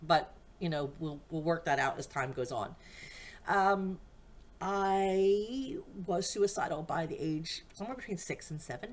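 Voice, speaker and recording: At a fairly slow pace, a woman with an American accent talks at medium pitch with lively intonation. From USA, various states. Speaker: podcast host. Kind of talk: personal monologue. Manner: rambling, self-interrupting.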